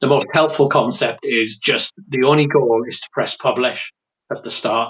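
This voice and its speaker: A man with an English accent speaks at medium pitch and a moderate pace, with ordinary pitch variation and big swings in loudness. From England. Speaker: writer. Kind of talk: interview.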